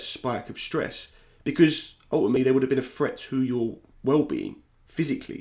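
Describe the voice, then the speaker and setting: A man at a medium pitch with a South London accent, fairly quick pace and fairly even intonation. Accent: South London accent, th-fronting. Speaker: YouTuber and football podcaster. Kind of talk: personal vlog monologue. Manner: casual, candid.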